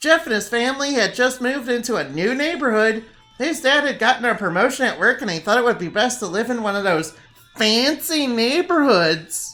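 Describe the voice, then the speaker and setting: A fairly high-pitched voice at a fairly quick pace, with faint music in the background. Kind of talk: comedic horror reading. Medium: read story. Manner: sarcastic, laughing, self-interrupting.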